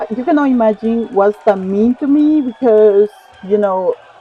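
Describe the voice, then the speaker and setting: The voice has a dark, mellow tone and ordinary pitch variation. The sound is dry and close, with no echo. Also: woman. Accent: Latin American. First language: Spanish. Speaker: online reseller. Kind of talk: casual vlog talk to viewers.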